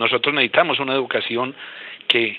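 A man talks at a fairly quick pace with fairly even intonation. Noticeable background noise runs underneath. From Colombia, Boyacá. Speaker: regional education official. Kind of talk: panel discussion. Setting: phone call.

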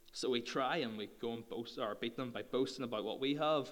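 In a room with audible echo, a man with a Northern Irish accent speaks fairly quickly at a medium pitch with fairly even intonation. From Northern Ireland. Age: 20s. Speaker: youth speaker. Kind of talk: sermon.

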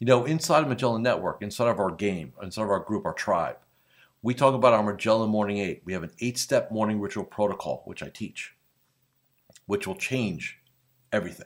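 An ordinary speaking voice, its pitch varying in an ordinary way, goes at a fairly quick pace. Behind it the background is silent, and the recording is very clean. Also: man, medium pitch for a man. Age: 50s. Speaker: business coach for financial advisors. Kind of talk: solo podcast monologue. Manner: casual, frequent filler words.

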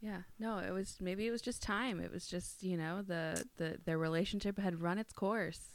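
With a Minnesotan accent, a woman of medium pitch talks at a moderate pace with fairly even intonation and hardly any pauses. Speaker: podcast co-host. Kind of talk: casual chat.

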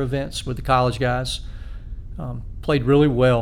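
Audible room echo surrounds a man speaking with a Southern US accent. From South Carolina (Spartanburg). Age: 50s. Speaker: amateur golfer and high school teacher. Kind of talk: casual interview.

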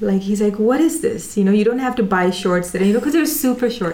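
Noticeable background noise behind speech with an American accent. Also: woman. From UAE (Dubai), Indian Gujarati family. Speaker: product manager and performer. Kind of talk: casual interview.

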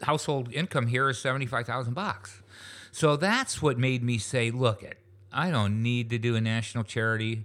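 In a very clean recording with a silent background, a man with an American accent and a plain, everyday voice speaks at a fairly quick pace with ordinary pitch variation. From western New York, US. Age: 60s. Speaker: retired business founder and charity founder. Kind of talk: casual interview.

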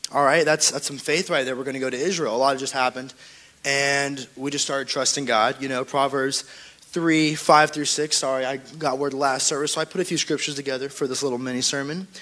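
A man's fairly high, flat, monotone voice at a fairly quick pace, over noticeable background noise. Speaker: youth church member. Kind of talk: testimony.

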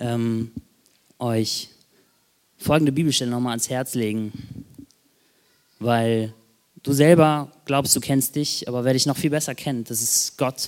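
With fairly even intonation, a man speaks in a medium pitch. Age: 20s. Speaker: lay preacher. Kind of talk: sermon. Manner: hesitant, many fillers.

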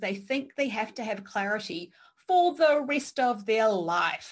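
At a moderate pace, a woman talks with lively intonation and a somewhat breathy sound. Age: 40s. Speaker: podcast host and career coach. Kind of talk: interview.

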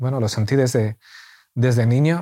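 In a very clean recording with a silent background, a man with a dark, mellow tone talks at a fairly slow pace and medium pitch, with ordinary pitch variation. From Spain. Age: 40s. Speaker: church member. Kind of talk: interview conversation. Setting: at home.

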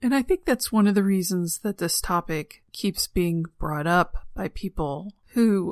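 A woman speaks at a fairly slow pace with medium pitch and lively intonation in an unremarkable speaking voice. The recording is very clean with a silent background, and the sound is dry and close with no echo. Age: 40s. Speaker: podcast host. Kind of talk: solo monologue.

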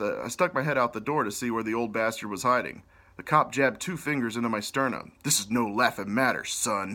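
Reading done in an unforced voice

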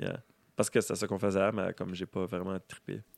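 Recorded very cleanly over a silent background with a dry, close sound and no echo, a man with a very deep, low pitch speaks at a moderate pace in a monotone, flat way. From Edmundston, New Brunswick (Acadian Madawaska region). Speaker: musician. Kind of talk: casual chat.

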